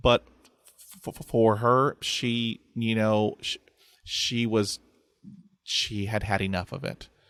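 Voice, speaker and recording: A man speaks very slowly in a Texan accent, his voice medium-pitched with fairly even intonation. Long, frequent pauses break up his speech, and the sound is dry and close with no echo. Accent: Texan American English. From Texas. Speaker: podcaster who stutters. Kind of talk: interview conversation. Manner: repetitions and blocks on sounds.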